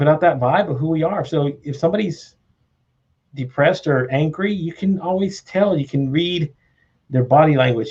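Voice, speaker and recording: This man's delivery is fairly quick. There's a somewhat breathy quality to his voice. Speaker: live show host. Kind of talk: casual conversational interview talk.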